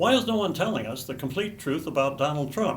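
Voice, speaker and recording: There is audible room echo around a man's voice. He talks at a moderate pace with lively intonation. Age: 80s+. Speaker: political commentator. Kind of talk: political commentary monologue.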